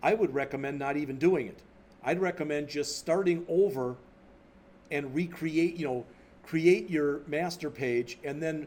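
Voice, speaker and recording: At a moderate pace, a man speaks with a fairly high pitch and ordinary pitch variation. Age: 60s. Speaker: college instructor. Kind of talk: lecture. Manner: casual, off the cuff.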